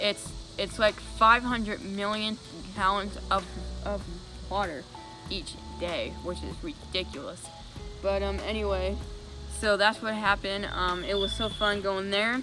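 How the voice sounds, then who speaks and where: A woman talks fairly slowly, leaving long, frequent pauses, while music plays in the background. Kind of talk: casual vlog talk to camera. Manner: halting, many fillers and repetitions.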